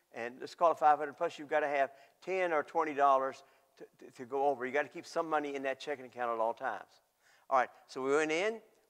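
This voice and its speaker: His pitch fairly high, a man speaks at a very fast pace. The loudness swings widely. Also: ordinary pitch variation, quiet background. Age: 70s. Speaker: pastor. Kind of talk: sermon.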